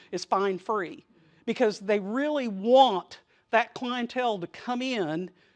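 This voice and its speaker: Using lively intonation, a woman speaks at a fairly high pitch. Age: 60s. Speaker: conference presenter. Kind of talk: workshop presentation. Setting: stage with audience. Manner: animated.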